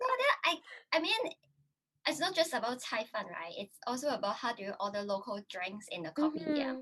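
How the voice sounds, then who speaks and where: A high-pitched woman's voice with very wide pitch swings and a Cantonese accent. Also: moderate pace. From Hong Kong. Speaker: YouTuber. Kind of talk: casual interview chat. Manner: halting, many fillers.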